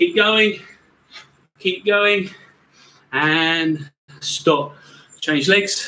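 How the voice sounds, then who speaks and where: The voice is raised and projected, moving at a very slow pace with ordinary pitch variation. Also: man. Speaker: fitness coach. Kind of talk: workout instruction. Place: garden. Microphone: camera far.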